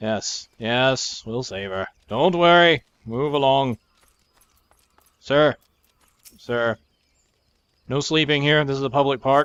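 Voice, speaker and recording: At a very slow pace with long, frequent pauses, a man speaks at a fairly high pitch with ordinary pitch variation. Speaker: gaming commentator. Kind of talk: gameplay commentary. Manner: animated.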